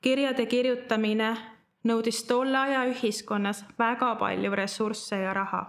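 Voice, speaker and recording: Against a quiet background, a woman with a fairly high pitch talks at very even loudness in a monotone, flat intonation. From Estonia, Tallinn; Estonia. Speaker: church member giving a Bible teaching. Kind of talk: sermon. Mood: calm, earnest. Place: studio.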